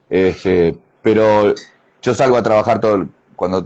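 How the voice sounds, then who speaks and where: Fairly low in pitch, a man speaks in a dark, mellow tone. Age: 60s. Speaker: karate master. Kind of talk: interview. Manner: halting.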